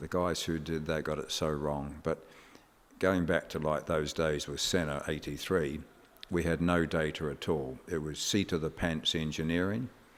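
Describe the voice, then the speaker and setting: A man with an English accent and very deep, low pitch, speaking at a moderate pace in monotone, flat intonation. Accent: sounds very English. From New Zealand. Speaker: motorsport engineer and team boss. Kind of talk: podcast interview.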